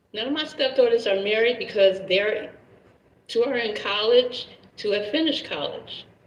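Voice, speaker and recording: A normal speaking voice from a woman, fairly high in pitch, with ordinary pitch variation at a moderate pace. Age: 50s. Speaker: caller, married mother. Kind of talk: live stream call-in conversation.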